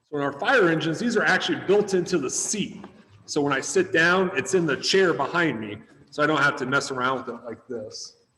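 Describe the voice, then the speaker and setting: A man with an American accent and an unremarkable speaking voice, fairly high in pitch, with lively intonation and a fairly quick pace. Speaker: firefighter. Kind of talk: demonstration. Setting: video webinar from firehouse. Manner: casual.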